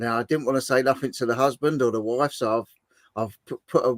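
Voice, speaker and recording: A man talks with an English accent at a moderate pace. The sound is dry and close, with no echo. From southern England. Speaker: livestream host. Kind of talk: casual chat.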